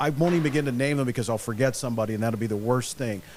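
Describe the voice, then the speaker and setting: A man talks with lively intonation. Behind him, music is playing. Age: 60s. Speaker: retired stadium announcer. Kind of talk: casual interview.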